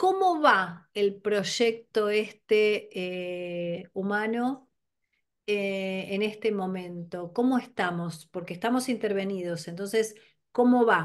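A woman with a Rioplatense accent at a medium pitch, ordinary pitch variation, a very slow pace and a quiet background. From Argentina. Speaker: podcast host. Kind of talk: interview. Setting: video call. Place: home room. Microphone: video call.

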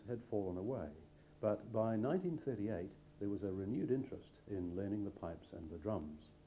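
Using lively intonation, a man with a normal speaking voice and fairly low pitch talks at a moderate pace. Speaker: narrator reading school history. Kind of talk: scripted narration of school history. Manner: formal, even-paced.

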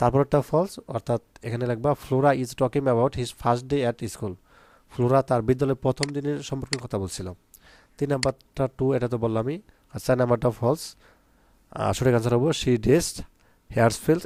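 The recording is very clean with a silent background and a dry, close sound with no echo. A man speaks at a medium pitch in a normal speaking voice. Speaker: online English tutor for school pupils. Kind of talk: tutorial; sales pitch. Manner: casual, conversational.

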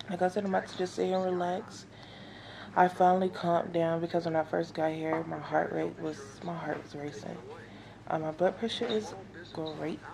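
Against noticeable background noise, a woman speaks at a fairly quick pace. Her pitch is fairly low and her intonation fairly even. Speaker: expectant mother vlogger. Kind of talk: casual vlog chat. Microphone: phone near.

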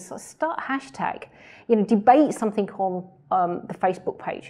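Dark, mellow tones from a woman, over a quiet background. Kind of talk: interview answer. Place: office.

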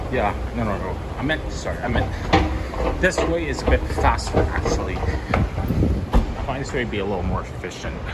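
There is loud background noise. A man is speaking. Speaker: travel vlogger. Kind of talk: casual vlog chat. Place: station. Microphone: phone near.

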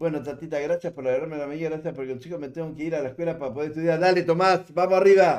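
A man with a Uruguayan accent, fairly high-pitched, very fast and barely pausing, fairly even in intonation, over a quiet background. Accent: Uruguayan Spanish (rioplatense). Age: 70s. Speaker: livestreamer. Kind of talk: casual chat. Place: home room.

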